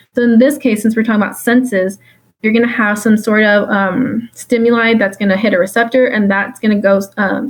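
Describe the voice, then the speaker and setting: The speaker sounds somewhat breathy, moving at a fairly quick pace with fairly even intonation. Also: woman, very even loudness. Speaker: exam review tutor. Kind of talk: exam review lecture. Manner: fast; casual with many fillers.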